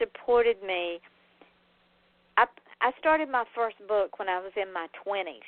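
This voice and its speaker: A woman's voice with a Southern accent and lively intonation. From US Deep South (Georgia). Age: 60s. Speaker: author and radio host. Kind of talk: interview talk show. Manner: animated.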